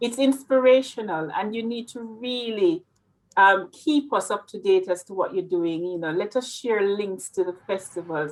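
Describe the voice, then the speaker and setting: In a Jamaican accent, a woman with a medium pitch speaks at a moderate pace with lively intonation and big swings in loudness. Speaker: interviewer. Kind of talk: interview.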